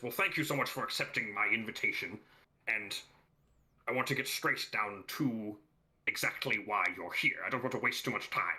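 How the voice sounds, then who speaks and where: Using a put-on character voice at medium pitch, a man speaks at a moderate pace, leaving long, frequent pauses. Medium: actual play. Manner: jovial, grandiose.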